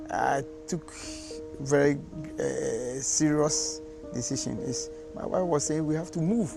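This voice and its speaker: Music plays in the background. A man speaks at a fairly slow pace. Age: old. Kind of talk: interview answer. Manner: hesitant, conversational.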